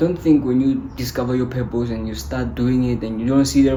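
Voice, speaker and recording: A man with a non-native accent speaks at a moderate pace and medium pitch. Noticeable background noise and audible room echo fill the recording. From South Africa. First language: not English. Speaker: motivational YouTuber. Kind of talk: motivational talk to camera. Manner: animated.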